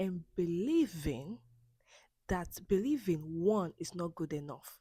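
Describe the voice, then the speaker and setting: A woman speaks very slowly at a medium pitch, with a dark, mellow tone. Her pitch swings very widely, and she has a non-native accent. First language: not English. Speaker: self-help podcast host. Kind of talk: personal monologue. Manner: halting, with self-corrections and repeats.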